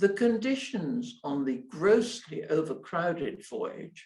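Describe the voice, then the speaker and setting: Her tone is dark and mellow, somewhat breathy. The woman speaks at a very slow pace. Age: 80s. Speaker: IT entrepreneur and philanthropist. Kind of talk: memorial lecture.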